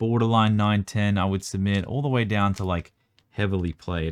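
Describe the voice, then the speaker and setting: A man speaks at a moderate pace with an Australian accent and fairly even intonation. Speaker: trading card collector and video creator. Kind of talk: casual card review tutorial. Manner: casual, filler-heavy.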